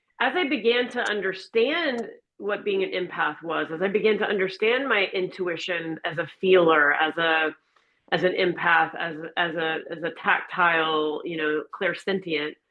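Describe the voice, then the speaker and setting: An ordinary speaking voice belongs to this woman with an American accent. She talks at a moderate pace and medium pitch, with ordinary pitch variation. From Florida. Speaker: empowerment and wellness coach. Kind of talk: interview conversation.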